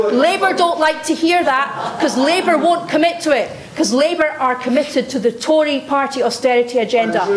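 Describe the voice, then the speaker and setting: A woman with a Scottish accent speaks at a moderate pace with lively intonation. Audible room echo and noticeable background noise surround her voice. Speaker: political candidate. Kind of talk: heated debate. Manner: forceful.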